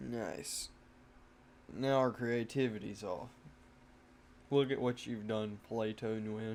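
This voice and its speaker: A man speaks at a very slow pace with a slight country accent and long, frequent pauses. His pitch is medium, with ordinary variation. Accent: slight country twang. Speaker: gaming content creator. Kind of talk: gameplay commentary. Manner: casual, halting.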